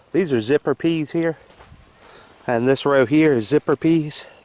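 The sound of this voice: A man with a fairly high voice speaks at a fairly slow pace, his tone slightly mellow and his pitch varying in an ordinary way.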